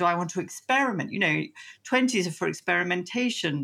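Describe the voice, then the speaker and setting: A woman with a British accent speaks at a fairly low pitch, her intonation lively. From England. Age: 60s. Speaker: psychotherapist. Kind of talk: interview. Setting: remote call.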